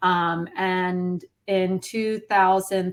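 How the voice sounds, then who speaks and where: A woman at a medium pitch on a very clean recording with a silent background. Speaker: police spouse sharing her family's story. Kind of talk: interview testimony. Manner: hesitant, many fillers.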